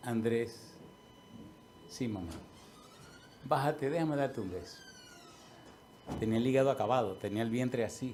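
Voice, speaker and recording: A man speaks at medium pitch with ordinary pitch variation and long, frequent pauses. Audible room echo surrounds his voice. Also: moderate pace. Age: 60s. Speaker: pastor. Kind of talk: sermon.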